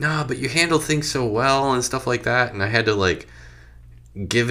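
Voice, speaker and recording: A man speaks with lively intonation. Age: 30s. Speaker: podcast co-host. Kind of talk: casual chat. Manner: halting.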